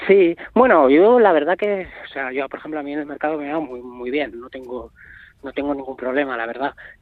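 In an ordinary speaking voice, a man talks at a fairly quick pace and fairly high pitch. His pitch variation is ordinary, and his loudness swings widely. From Navarre, Spain. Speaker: performance artist. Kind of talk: interview. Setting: phone call.

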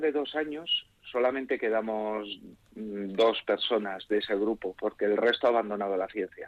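A man's plain, everyday voice at a medium pitch, with fairly even intonation and a fairly slow pace. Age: 40s. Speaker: physicist. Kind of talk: radio interview.

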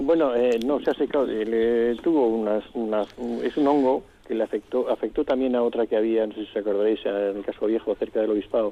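A man has a plain, everyday voice at a medium pitch. His pitch shows ordinary variation. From Vitoria-Gasteiz, Basque Country. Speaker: retired municipal gardening chief. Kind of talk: radio interview.

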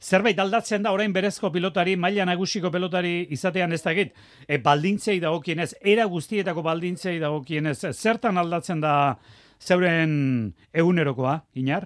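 Very clean recording with a silent background, featuring a man's high voice and ordinary pitch variation. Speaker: radio sports host. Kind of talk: sports news and interviews.

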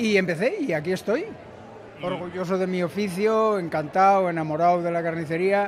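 A man's high voice at a moderate pace with fairly even intonation, amid audible room echo and noticeable background noise. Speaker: butcher. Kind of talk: interview.

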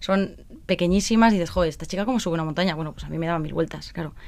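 This woman has a fairly low pitch, ordinary pitch variation and an unremarkable speaking voice. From Basque Country, Spain (Vitoria). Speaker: former TV contestant, charity project volunteer. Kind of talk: interview.

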